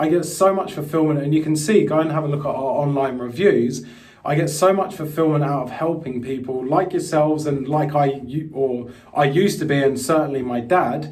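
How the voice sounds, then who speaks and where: A man with an English accent and a fairly high pitch, ordinary pitch variation at a moderate pace, with noticeable background noise and audible room echo. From England, London. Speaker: crypto investment coach. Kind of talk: live webinar presentation. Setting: live online stream. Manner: casual, with frequent fillers.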